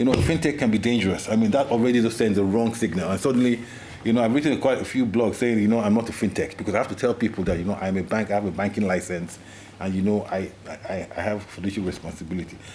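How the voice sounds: A man talks at a fast pace in a fairly low pitch. His tone is slightly mellow, with ordinary pitch variation.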